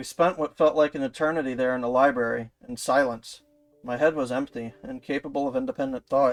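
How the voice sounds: The speaker uses a natural reading voice.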